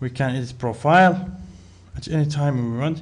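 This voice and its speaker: A man's voice comes out somewhat breathy. He talks at a fairly slow pace. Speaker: software tutorial narrator. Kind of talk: tutorial.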